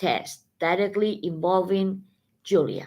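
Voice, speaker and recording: A woman with a Spanish accent at a very slow pace. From Spain. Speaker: tarot reader. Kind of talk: live stream tarot reading. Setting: live stream. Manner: halting, self-correcting.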